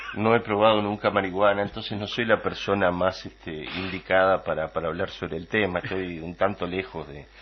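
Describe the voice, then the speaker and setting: A man's very deep, low voice moves at a fairly quick pace, its intonation staying fairly even. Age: 60s. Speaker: political commentator. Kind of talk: radio political debate. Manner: halting, many fillers.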